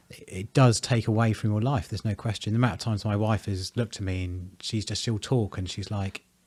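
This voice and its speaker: At a very fast pace, a man speaks in a fairly low, somewhat breathy voice, the sound dry and close with no echo. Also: fairly even intonation, hardly any pauses. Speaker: presenter. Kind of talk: interview conversation.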